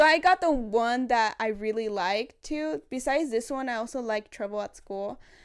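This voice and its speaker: Recorded very cleanly with a silent background, a woman with a non-native accent speaks at a moderate pace, her fairly high pitch carried by lively intonation. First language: not English. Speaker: vlogger. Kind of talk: casual vlog monologue. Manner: casual, chatty.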